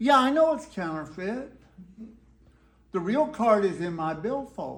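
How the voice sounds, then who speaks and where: A man is speaking. He has a Texan accent. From Texas. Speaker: storyteller. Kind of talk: live storytelling performance. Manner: laid-back, whimsical.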